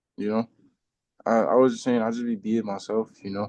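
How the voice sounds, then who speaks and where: A man talks at a moderate pace with a New York accent. His pitch sits in the medium range. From Brooklyn, New York (Bed-Stuy). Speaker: rapper. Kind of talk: casual chat.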